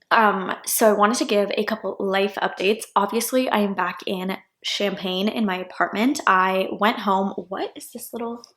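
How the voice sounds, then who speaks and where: A woman with an American accent, medium pitch, ordinary pitch variation, moderate pace and hardly any pauses. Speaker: law student vlogger. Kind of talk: casual vlog chat. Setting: at home in apartment. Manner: soft-spoken.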